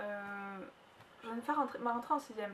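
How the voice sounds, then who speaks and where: Over noticeable background noise, a woman with a slight southern French accent talks at a fairly quick pace. Her fairly high pitch follows fairly even intonation. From southern France. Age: 20s. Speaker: vlogger. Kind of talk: personal vlog testimony. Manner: fast.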